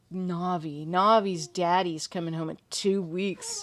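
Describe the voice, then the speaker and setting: A woman with an American accent, fairly low in pitch, her intonation fairly even. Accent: California accent, noticed by others. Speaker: horror story narrator and livestream host. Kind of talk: casual chat.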